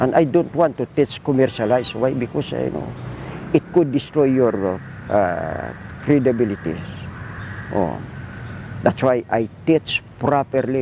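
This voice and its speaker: The speech moves at a moderate pace with lively intonation. Noticeable background noise can be heard. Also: man. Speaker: martial arts instructor. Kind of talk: documentary interview. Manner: halting.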